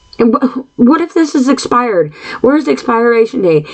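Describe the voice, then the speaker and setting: Noticeable background noise behind a woman's high pitch. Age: 50s. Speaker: podcast host. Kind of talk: solo monologue podcast. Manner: frequent throat clearing and filler words; halting.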